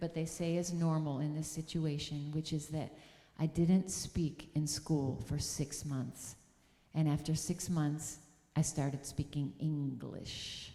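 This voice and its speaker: Speaking with an upstate New York accent, a woman uses a dark, mellow tone at a very deep, low pitch. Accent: American (upstate New York). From US Northeast, upstate New York (Syracuse area). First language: German. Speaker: music teacher and speaker at a church service. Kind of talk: sermon.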